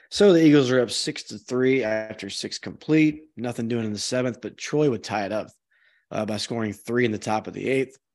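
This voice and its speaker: A man with an unremarkable speaking voice, medium in pitch with ordinary pitch variation, at a fairly quick pace against a quiet background. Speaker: podcast host. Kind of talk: casual chat. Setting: remote video call.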